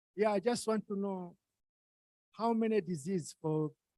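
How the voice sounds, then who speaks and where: Lively intonation marks a man's fairly slow delivery. His dark, mellow tone sounds dry and close, with no echo. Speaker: workshop attendee asking questions. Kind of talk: Q&A discussion. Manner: soft-spoken. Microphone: too quiet.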